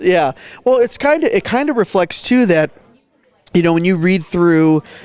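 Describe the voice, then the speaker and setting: A man's high voice with a Midwestern accent, lively intonation, very even loudness, and a moderate pace. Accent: Midwest. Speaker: podcaster and county commissioner. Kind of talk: casual chat. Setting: at a conference.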